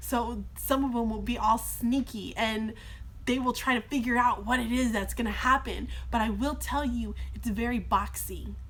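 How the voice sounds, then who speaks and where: Against audible room echo, a woman speaks. She keeps a moderate pace. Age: 20s. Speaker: teacher. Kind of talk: live Q&A stream. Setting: live stream in a workshop. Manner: animated.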